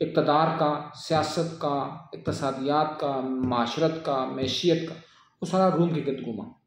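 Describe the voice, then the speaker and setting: With fairly even intonation, a man talks in an ordinary speaking voice, pitched fairly high. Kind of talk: political commentary talk.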